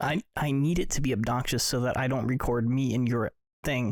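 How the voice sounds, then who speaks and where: The speaker is a man at a medium pitch. His sound is dry and close, without any echo. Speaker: podcast host. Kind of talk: casual chat. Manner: loud. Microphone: very close to the mic.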